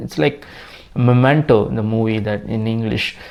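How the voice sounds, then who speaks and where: A man speaks with a Tamil Nadu accent. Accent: Tamil Indian English. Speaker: tech YouTuber. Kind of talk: tutorial. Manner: halting.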